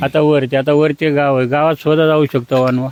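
A man speaks in a flat monotone, his voice sounding dry and close with no echo. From Maharashtra, Maval (Pune district). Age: 70s. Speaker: local villager. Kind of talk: street interview.

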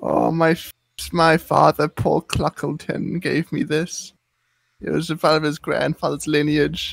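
A man's raspy put-on character voice, fairly high in pitch and at a fairly slow pace, in a very clean recording with a silent background and a dry, close sound with no echo. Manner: rambling, casual, deadpan about dark things.

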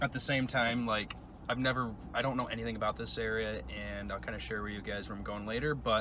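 Over noticeable background noise, a man talks at a very fast pace in dry sound with no echo. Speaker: travel vlogger. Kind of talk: casual vlog chat. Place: car. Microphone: phone near.

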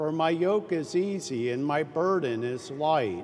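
Someone speaks at a very slow pace over light background noise. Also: man. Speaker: priest leading Mass. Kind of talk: liturgical introduction and greeting. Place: church.

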